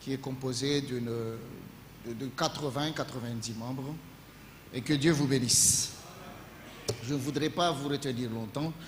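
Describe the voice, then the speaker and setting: A man at medium pitch speaks at a fairly slow pace with fairly even intonation and long, frequent pauses. Audible room echo and noticeable background noise are present. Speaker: pastor. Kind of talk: sermon. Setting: church. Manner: halting.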